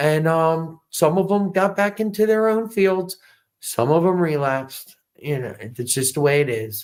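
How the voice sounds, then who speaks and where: A man with an American accent talks fairly slowly at a fairly high pitch, his intonation lively. It is a plain, everyday voice on a very clean recording with a silent background. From New York City (South Bronx). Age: 50s. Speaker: Navy veteran and businessman running for mayor. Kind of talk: interview.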